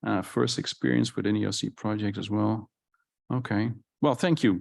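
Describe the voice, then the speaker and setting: A man with a Dutch accent speaks at a moderate pace in a fairly low voice with vocal fry and lively intonation. The background is quiet. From Netherlands. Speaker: conference session moderator. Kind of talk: conference presentation. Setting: conference hall with live audience. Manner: halting, many fillers and restarts.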